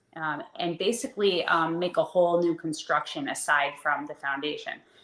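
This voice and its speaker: Moderately paced speech from a woman, fairly low in pitch, ordinary in pitch variation, over noticeable background noise. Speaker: life and dating coach. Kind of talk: casual chat. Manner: pauses to breathe and reset, sometimes disfluent.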